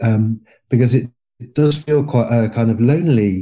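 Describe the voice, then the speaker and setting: Over music in the background, a man with a southern English accent speaks very slowly at a medium pitch with ordinary pitch variation. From England. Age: 50s. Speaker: podcast guest. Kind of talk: interview. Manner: halting.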